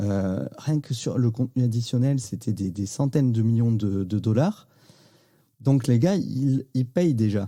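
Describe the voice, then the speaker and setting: Here a man at a medium pitch has a dark, mellow tone, a moderate pace and ordinary pitch variation. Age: 40s. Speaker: podcast host. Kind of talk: casual interview chat.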